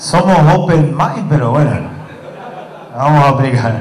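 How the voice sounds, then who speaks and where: In a Córdoba Argentine accent, the speaker goes at a fairly slow pace with ordinary pitch variation amid audible room echo. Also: man. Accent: Cordoban Argentine Spanish. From Argentina, Córdoba; Argentina. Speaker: tech company presenter; presenter. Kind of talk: product presentation. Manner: halting, many fillers and repetitions. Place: hall. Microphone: camera far.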